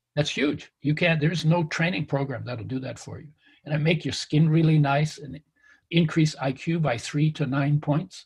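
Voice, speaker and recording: A man speaks at a moderate pace with a fairly high pitch and fairly even intonation. His voice is somewhat breathy and swings widely in loudness. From Canada, after early childhood in wartime Europe. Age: 70s. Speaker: nutrition author and health expert. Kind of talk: interview conversation.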